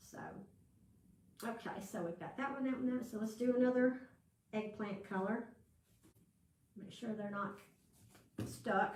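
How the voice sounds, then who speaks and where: Speaking at a moderate pace with a Southern US accent, a woman with a fairly high pitch sounds somewhat breathy and leaves long, frequent pauses. Her loudness swings widely, and room echo is audible. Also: fairly even intonation. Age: 60s. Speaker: crafting channel host. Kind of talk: live craft tutorial. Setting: livestream with viewer chat. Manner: casual, chatty with fillers.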